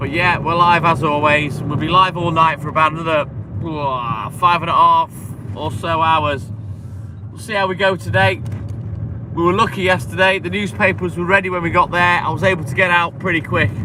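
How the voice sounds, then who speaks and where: A man with a fairly high voice speaks at a moderate pace, his intonation lively over noticeable background noise. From English Midlands. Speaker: milkman livestreamer. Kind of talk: casual livestream chat.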